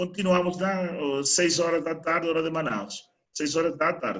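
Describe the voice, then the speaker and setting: Speaking at a moderate pace, a man with a Spanish accent uses a high pitch and lively intonation. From Venezuela. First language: Spanish (speaking Portuguese). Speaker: solar energy trainer. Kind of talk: online training webinar.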